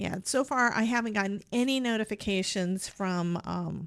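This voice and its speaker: A woman speaks quietly with ordinary pitch variation on a very clean recording with a silent background. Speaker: cardmaking livestream host. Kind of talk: casual livestream tutorial chat.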